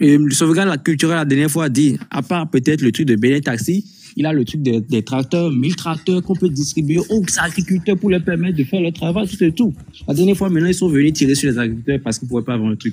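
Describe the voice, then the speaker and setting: A man with a fairly high voice and a dark, mellow tone speaks at a very fast pace. His intonation is lively. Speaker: participant in live online discussion. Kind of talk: heated debate.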